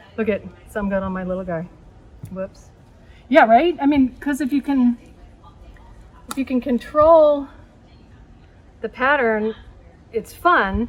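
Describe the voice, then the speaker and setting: This woman's high-pitched voice moves at a fairly slow pace with lively intonation. Her loudness swings widely, and she leaves long, frequent pauses. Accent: American. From San Francisco area, US West Coast. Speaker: art teacher. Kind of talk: tutorial. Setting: outdoors.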